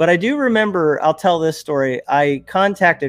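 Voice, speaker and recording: Talking at a moderate pace with ordinary pitch variation, a man with an American accent has an unremarkable speaking voice. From New Jersey, US. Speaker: YouTuber and ministry worker. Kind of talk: casual interview.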